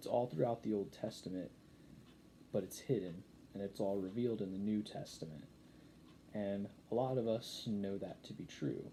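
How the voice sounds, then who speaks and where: Pausing long and often amid audible room echo, a man with a dark, mellow tone speaks at a moderate pace and a fairly low pitch with ordinary pitch variation. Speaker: YouTube preacher. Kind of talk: sermon. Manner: halting, many fillers and restarts.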